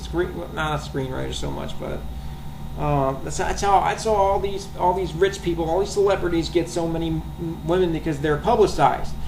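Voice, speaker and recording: Noticeable background noise and audible room echo fill the recording. Over it, a man talks fairly quickly. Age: 20s. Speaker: vlogger. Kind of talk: rant. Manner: halting, many repetitions and fillers.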